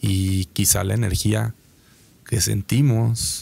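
Somewhat breathy and dark, mellow in tone, a man's fairly low voice carries fairly even intonation. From Mexico. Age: 30s. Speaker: concert promoter; podcast guest. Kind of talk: interview. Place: studio. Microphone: studio mic.

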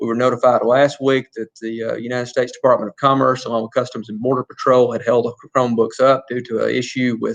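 A man with an Alabama accent races along very fast at a medium pitch, hardly pausing, in a monotone, flat delivery. His loudness swings widely, and the sound is dry and close with no echo. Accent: Southern US (Alabama). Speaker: school superintendent. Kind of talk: board meeting report. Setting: public meeting, livestreamed.

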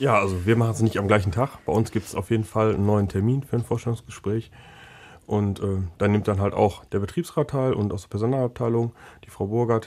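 At a fairly quick pace and a fairly low pitch, a man talks in an unremarkable speaking voice with ordinary pitch variation on a very clean recording with a silent background. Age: 20s. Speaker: technical apprenticeship trainer. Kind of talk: casual interview.

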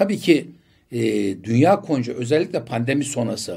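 A man's dark, mellow, somewhat breathy voice at a fairly slow pace against a quiet background. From Turkey, Bursa; Turkey. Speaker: politician; election candidate. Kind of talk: interview. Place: studio. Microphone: studio mic.

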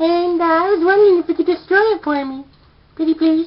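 A female-sounding cartoonish character voice moves at a fairly quick pace with extremely high pitch. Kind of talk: comic overacting. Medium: puppet show. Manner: frustrated, whiny, scheming.

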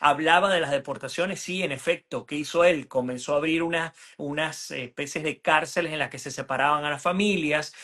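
In a quiet background, a man with a Venezuelan accent speaks at a moderate pace, his high pitch carrying a bright, sharp tone and ordinary pitch variation. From Venezuela (Puerto Ordaz). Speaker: journalist and political analyst; journalist, political analyst. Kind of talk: political interview. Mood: earnest, argumentative. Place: home room. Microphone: video call.

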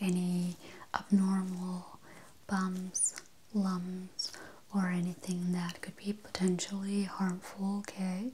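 Soft-spoken and calm in tone, a woman talks at a very slow pace with monotone, flat intonation over light background noise. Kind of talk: soft-spoken role-play. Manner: soft-spoken, hushed calm ASMR voice. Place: home room.

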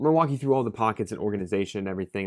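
A man's lively intonation against a quiet background. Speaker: bag reviewer. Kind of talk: casual product review. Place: home room.

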